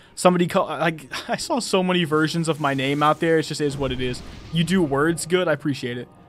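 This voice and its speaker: Over background music, a man with an American accent talks very fast at a fairly high pitch, his intonation fairly even. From United States. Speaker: gaming streamer. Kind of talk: live stream chat. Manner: casual.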